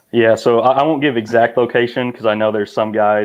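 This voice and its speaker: A man's flat, monotone delivery in a Missouri Bootheel accent. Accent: Bootheel Missouri accent, noticeable. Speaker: kayak angler, IT worker. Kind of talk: casual chat.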